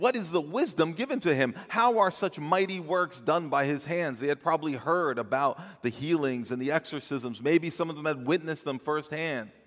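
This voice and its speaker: With an American accent, a man speaks in an ordinary speaking voice at a moderate pace, fairly high in pitch, with lively intonation and hardly any pauses. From New Jersey. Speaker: pastor. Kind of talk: sermon. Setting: church.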